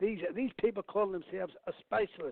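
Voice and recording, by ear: A man's high-pitched voice with vocal fry, ordinary pitch variation and a fairly quick pace, in a dry, close sound with no echo.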